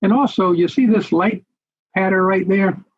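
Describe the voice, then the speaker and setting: Dry and close with no echo, a man's high-pitched voice shows ordinary pitch variation. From US South, coastal Georgia (Savannah). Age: 70s. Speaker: naturalist and marine educator. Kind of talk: lecture. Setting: video call. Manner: halting, with frequent fillers.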